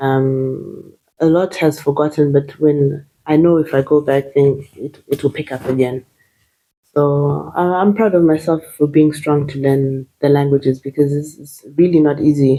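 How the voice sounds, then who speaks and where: A woman with a Zimbabwean accent speaks at a fairly slow pace in a very deep, low pitch and a dark, mellow tone, her intonation fairly even and her loudness swinging widely. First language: Shona. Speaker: nurse. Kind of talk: interview. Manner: hesitant, many fillers.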